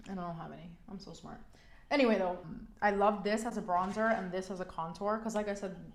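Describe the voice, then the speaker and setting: In an American accent, a woman talks at a very fast pace with an animated tone and medium pitch. Audible room echo surrounds her voice. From New York. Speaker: beauty vlogger. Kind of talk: makeup tutorial chat. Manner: casual, filler-heavy.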